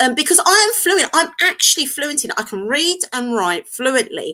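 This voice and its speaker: A woman with a high voice projects it loudly, her bright, sharp tone moving in very wide pitch swings. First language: Turkish. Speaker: co-host. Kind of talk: panel discussion.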